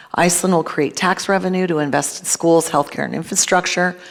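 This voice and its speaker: Speaking with an American accent, a woman uses a fairly low pitch and vocal fry. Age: 50s. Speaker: cannabis business executive. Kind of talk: conference talk. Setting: stage with audience.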